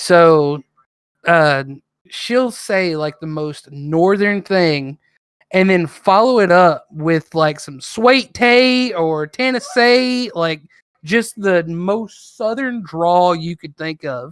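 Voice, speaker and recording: A high-pitched man with an American accent, very slow pace, lively intonation and big swings in loudness, on a very clean recording with a silent background. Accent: country accent, milder away from parents. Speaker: podcast host. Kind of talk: casual chat. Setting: livestream.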